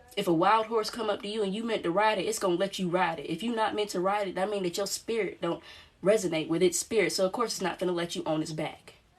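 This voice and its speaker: Very fast delivery from a woman, medium in pitch, her intonation varying in an ordinary way. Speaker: spiritual channeler and energy reader. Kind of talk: channeled spiritual reading. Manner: animated.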